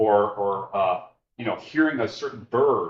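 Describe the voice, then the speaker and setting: A man talks in a somewhat breathy voice. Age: 60s. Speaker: filmmaker and nature photographer. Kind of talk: public talk with slides. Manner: conversational, repeats words when starting sentences.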